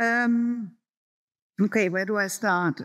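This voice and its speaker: In a very clean recording with a silent background, a woman with a German accent talks very slowly in a fairly high voice with ordinary pitch variation. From Germany. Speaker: professor. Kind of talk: Q&A answer. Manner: hesitant, many fillers.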